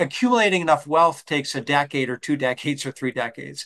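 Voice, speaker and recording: This man talks at a fairly quick pace in an American accent. His pitch is fairly high. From Upper Peninsula, Michigan, USA. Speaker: financial advisor. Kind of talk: podcast interview answer.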